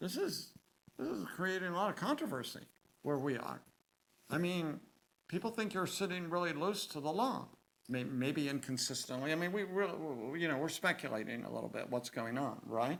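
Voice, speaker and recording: A high-pitched man's voice at a moderate pace, with lively intonation. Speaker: seminary professor lecturing on the Bible. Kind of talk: lecture. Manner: conversational with fillers and self-corrections.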